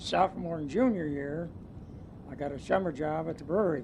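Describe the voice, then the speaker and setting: A somewhat breathy, fairly high-pitched man with an American accent, talking at a moderate pace. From US Midwest, western Ohio. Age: 70s. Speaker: retired businessman. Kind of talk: oral history interview. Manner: halting, many fillers.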